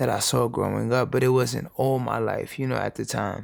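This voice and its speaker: A man talks at a moderate pace. He speaks with a New York accent. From New York City, the Bronx. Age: 20s. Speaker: educator and speaker. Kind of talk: interview, personal life story. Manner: halting.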